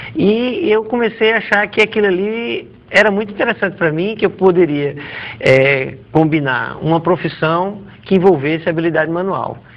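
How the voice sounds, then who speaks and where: Lively intonation from a man with a high pitch, at a moderate pace, over noticeable background noise. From Natal, northeastern Brazil. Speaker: orthodontist. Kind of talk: TV interview.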